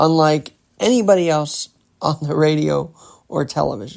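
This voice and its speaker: A man with lively intonation. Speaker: podcast host. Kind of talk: casual podcast talk.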